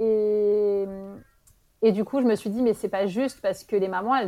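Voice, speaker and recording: A woman talks with medium pitch, a moderate pace, and pitch that varies in an ordinary way. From France. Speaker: early childhood professional. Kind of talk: interview. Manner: halting.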